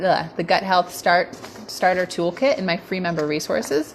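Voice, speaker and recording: With noticeable background noise behind her, a woman talks at a medium pitch with ordinary pitch variation. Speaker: wellness coach. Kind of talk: live stream talk. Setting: home dining room. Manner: fast; casual, many fillers.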